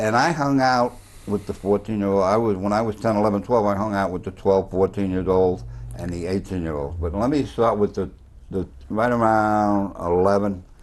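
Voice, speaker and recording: A man with a Bronx accent speaks at a moderate pace. His pitch is fairly low, with ordinary pitch variation. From New York, the Bronx. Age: 80s+. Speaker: former cab driver and storyteller. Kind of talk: tv interview. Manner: animated.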